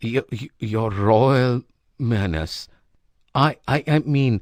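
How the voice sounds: Against a quiet background, the speaker uses a natural reading voice with ordinary pitch variation.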